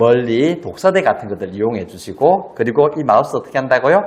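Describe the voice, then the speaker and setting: A man's voice with very wide pitch swings. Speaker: spine health educator. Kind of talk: tutorial.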